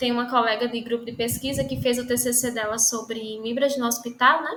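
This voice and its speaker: Bright, sharp tone from a woman pitched high. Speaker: lecturer. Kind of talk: online lecture.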